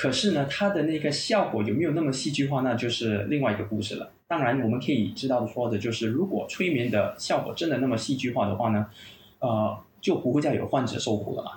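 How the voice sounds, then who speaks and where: In a room with audible echo, a man with a medium-pitched voice talks fairly quickly using lively intonation. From Malaysia. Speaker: clinical pain psychologist and university lecturer. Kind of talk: podcast interview, explanatory.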